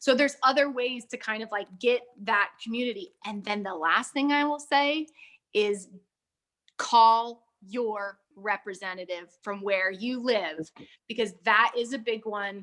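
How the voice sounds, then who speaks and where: At a fairly slow pace, a woman with a fairly high pitch and a bright, sharp tone speaks with ordinary pitch variation. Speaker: film studio executive. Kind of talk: panel webinar discussion.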